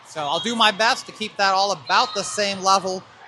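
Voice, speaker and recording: There is noticeable background noise. The delivery keeps a moderate pace. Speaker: volleyball play-by-play commentator. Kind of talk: live commentary. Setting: indoor gym at match. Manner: loud; animated.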